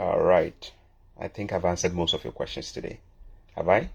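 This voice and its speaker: The recording is very clean with a silent background. A man is speaking. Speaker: immigration advice channel host. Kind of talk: live Q&A. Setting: livestream. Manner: fast.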